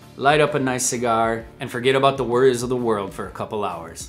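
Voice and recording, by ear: Over faint music in the background, a man talks at medium pitch and a moderate pace with ordinary pitch variation.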